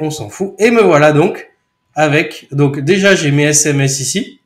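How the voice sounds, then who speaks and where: Somewhat breathy, a man with a fairly high voice speaks at a very slow pace with lively intonation. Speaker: software trainer. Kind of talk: tutorial. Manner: casual, chatty.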